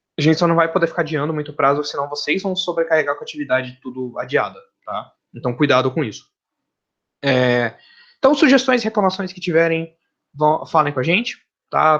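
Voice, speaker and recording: Over a quiet background, a man with a fairly high pitch speaks at a fairly quick pace, showing ordinary pitch variation and long, frequent pauses. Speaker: university professor. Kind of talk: lecture. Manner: fast when excited; casual, talkative.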